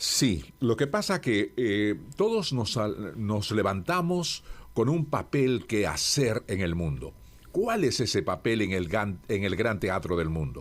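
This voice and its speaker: This man talks at a very slow pace with a fairly low pitch. His pitch swings very widely. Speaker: radio institutional voice, locution teacher and author. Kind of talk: interview answer about speaking and voice. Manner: measured, warm, articulate.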